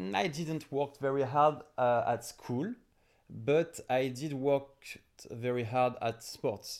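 Someone with a French accent speaks at a very slow pace with ordinary pitch variation on a very clean recording with a silent background. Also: man, fairly high pitch for a man. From France, Paris suburbs. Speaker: entrepreneur. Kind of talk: interview. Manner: halting.

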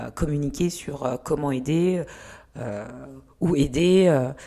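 A woman with a very deep, low pitch speaks with ordinary pitch variation amid noticeable background noise. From Lyon, France (born in Rwanda, arrived age 8). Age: 30s. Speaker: model and activist. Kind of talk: casual interview. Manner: talkative.

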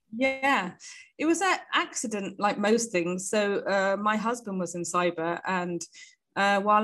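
A woman with a British accent, medium pitch and a moderate pace. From UK. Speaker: startup founder.

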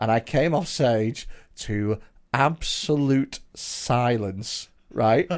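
A man at medium pitch, very slow pace and ordinary pitch variation. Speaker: comedian and podcast host. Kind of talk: casual banter. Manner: jokey, self-praising.

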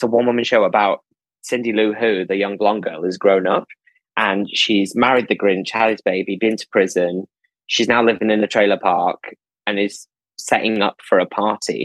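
Speaking in a Lancashire accent, a man keeps a monotone, flat intonation at a fairly low pitch and a moderate pace. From northern England, Preston, Lancashire. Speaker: theatre producer. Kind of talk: casual interview.

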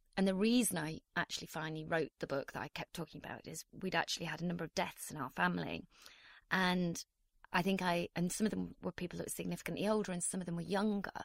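Very fast and fairly low-pitched, a woman talks on a very clean recording with a silent background. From northeast England. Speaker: novelist. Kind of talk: interview.

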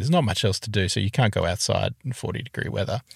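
Fairly low-pitched male voice with an Australian accent, dry and close with no echo. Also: very clean recording, silent background. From Tasmania, Australia. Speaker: podcast co-host. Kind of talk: casual chat. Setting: in a car.

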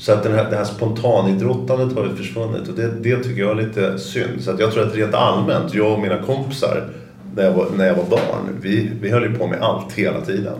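Lively intonation runs through fairly quick speech, with audible room echo and noticeable background noise. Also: man, fairly low pitch for a man. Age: 50s. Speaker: company founder and CEO. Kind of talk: interview conversation. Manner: halting, many repetitions and fillers.

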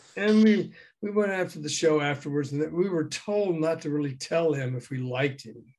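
A man has an ordinary speaking voice with an American accent, pitched fairly high with ordinary pitch variation. He keeps a moderate pace, with big swings in loudness. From US South, Memphis. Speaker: former radio DJ and music promoter, author. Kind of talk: interview, storytelling.

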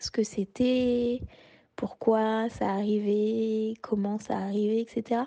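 Dry and close with no echo, the recording captures a woman with a dark, mellow tone. Her pitch is fairly high. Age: 30s. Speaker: interviewee sharing a personal story. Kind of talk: personal testimony. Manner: hesitant, many fillers.

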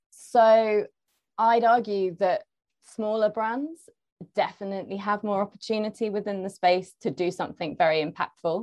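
A woman is speaking. She has a London accent. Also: quiet background. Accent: southern English (London). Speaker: marketing manager. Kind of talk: panel discussion. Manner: hesitant, many fillers.

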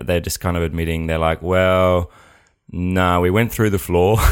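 A man with an Australian accent and a very deep, low pitch. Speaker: comedian, podcast host. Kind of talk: casual chat.

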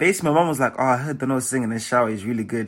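A man's bright, sharp, animated voice at a medium pitch, with a British accent, on a very clean recording with a silent background. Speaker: singer, songwriter and dancer. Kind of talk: casual interview.

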